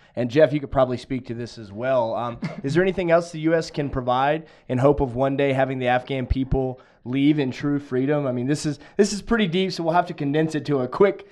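This is an unremarkable speaking voice with ordinary pitch variation. The pace is fairly quick. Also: man, fairly high pitch for a man. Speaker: podcast host. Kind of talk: live podcast interview. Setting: live stream.

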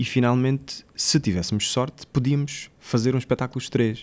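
The recording is very clean, the background silent. A man with a plain, everyday voice talks at a fairly quick pace with ordinary pitch variation. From Mozambique. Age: 20s. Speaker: actor. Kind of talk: interview.

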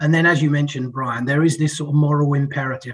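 Somewhat breathy and fairly high-pitched, this man's voice keeps a fairly even intonation. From UK. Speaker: financial technology strategist. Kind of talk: podcast interview.

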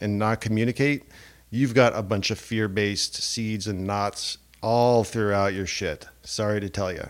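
Speaking at a fairly slow pace, a man has a fairly low pitch and an ordinary speaking voice. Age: 40s. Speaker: podcast host and relationship coach. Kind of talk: solo monologue podcast. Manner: casual, with frequent fillers.

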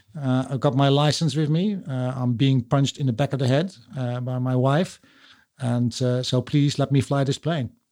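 Over a silent background in a very clean recording, a man with a Dutch accent speaks at a moderate pace in a medium pitch, with a dark, mellow tone and fairly even intonation. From Netherlands. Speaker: podcast host. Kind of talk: casual interview chat. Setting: home studio.

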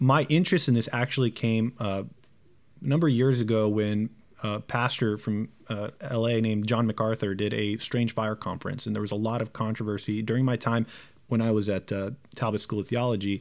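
With a Southern California accent, a man talks at a fairly quick pace at a medium pitch and with fairly even intonation, recorded very cleanly against a silent background. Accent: American English, Southern California. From Southern California, Romanian immigrant family. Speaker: pastor. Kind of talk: casual discussion.

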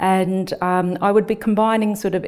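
Her tone dark and mellow, a woman speaks in a monotone, flat intonation. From New Zealand. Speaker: nurse researcher and lecturer. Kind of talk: interview.

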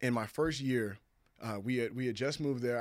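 In an American accent, a man speaks in a normal speaking voice at a medium pitch, on a very clean recording with a silent background. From US West Coast (California and Washington). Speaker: former pro football player. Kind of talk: casual interview chat.

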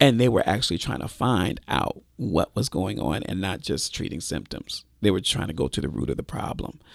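A man with a very deep, low pitch and vocal fry swings his pitch very widely. He keeps a moderate pace with hardly any pauses. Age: 50s. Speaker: pastor. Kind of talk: testimony.

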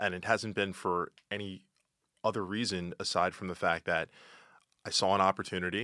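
A man with a very deep, low pitch and a bright, sharp tone speaks at a moderate pace in a monotone, flat intonation, recorded very cleanly against a silent background with a dry, close sound and no echo. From Philadelphia. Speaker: civic fellow. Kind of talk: casual chat. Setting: studio.

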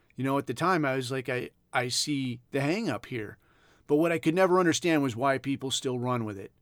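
In a very clean recording with a silent background, a man with an American accent and an unremarkable speaking voice talks at a fairly quick pace, fairly high in pitch, with ordinary pitch variation. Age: 40s. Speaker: podcast host, former Navy SEAL. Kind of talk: casual monologue.

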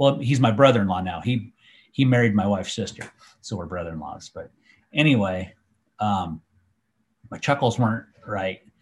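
Speaking with an American accent at a moderate pace, a man with a fairly low, somewhat breathy voice uses lively intonation, big swings in loudness, and long, frequent pauses. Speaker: hunter and trail camera user. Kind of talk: casual chat.

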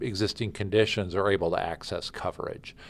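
A plain, everyday voice from a fairly low-pitched man with an American accent, at a moderate pace with fairly even intonation, in a very clean recording with a silent background. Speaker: state insurance official. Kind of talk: interview. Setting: office. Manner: formal.

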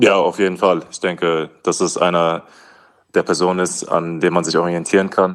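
This man's voice sits very deep and low. His intonation is monotone and flat. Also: moderate pace, very clean recording, silent background. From Hesse, Germany (Wetzlar). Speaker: professional basketball player. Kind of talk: casual interview.

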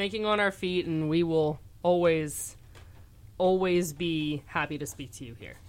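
An unremarkable speaking voice from a woman, fairly low in pitch, at a fairly slow pace with ordinary pitch variation and big swings in loudness. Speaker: college radio station manager. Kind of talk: casual radio interview. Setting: radio studio.

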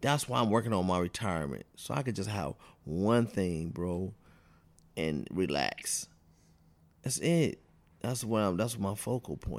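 A man speaks at a fairly slow pace, his voice pitched fairly low with lively intonation. The recording is very clean, with a silent background. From Cleveland, Ohio. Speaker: barber. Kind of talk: casual interview chat.

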